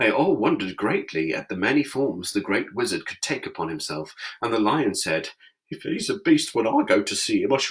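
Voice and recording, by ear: Natural-voiced reading aloud.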